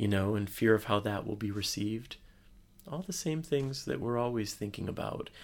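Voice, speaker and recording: With an American accent, a man with an ordinary speaking voice and a fairly low pitch talks at a moderate pace with lively intonation. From USA. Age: 40s. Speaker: love and relationship speaker. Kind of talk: casual interview. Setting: hotel room.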